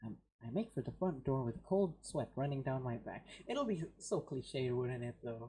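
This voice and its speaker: There is a dark, mellow tone with some breathiness. The pitch moves in a lively way. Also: man, medium pitch for a man, moderate pace. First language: not English. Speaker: gaming streamer. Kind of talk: reading aloud. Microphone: poor mic quality.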